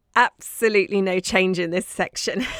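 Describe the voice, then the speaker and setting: This woman has a southern English accent and a warm tone at a medium pitch. The recording is very clean, with a silent background and a dry, close sound with no echo. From southern England, Dorset. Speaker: podcast host, craft maker. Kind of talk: casual monologue. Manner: warm, chatty.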